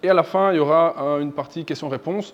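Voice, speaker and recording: The speaker has a slight non-native accent and talks at a moderate pace with fairly even intonation. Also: man. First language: not French (speaking French). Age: 30s. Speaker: software developer, company founder. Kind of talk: presentation to an audience. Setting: evening event with live audience. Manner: halting, frequent repetitions and fillers.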